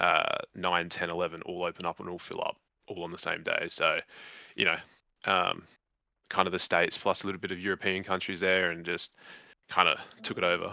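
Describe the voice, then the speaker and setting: A man with an Australian accent, fairly quick in pace, with long and frequent pauses. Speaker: online game player. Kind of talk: casual chat.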